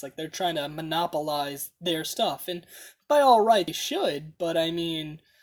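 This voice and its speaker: A woman with an American accent speaks at a moderate pace in a fairly low pitch. She has a plain, everyday voice. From US, South Florida. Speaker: podcast host. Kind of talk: casual chat.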